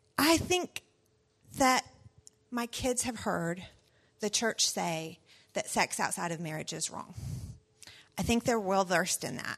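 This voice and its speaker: A woman's medium-pitched voice with a Southern US accent, fairly slow and full of long, frequent pauses, very wide pitch swings, and a dry, close sound with no echo. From US South. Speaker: pastor's wife and mother. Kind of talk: personal talk to parents.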